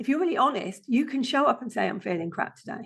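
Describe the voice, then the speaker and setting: A woman speaks with a British accent. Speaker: passive income strategist. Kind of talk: podcast interview.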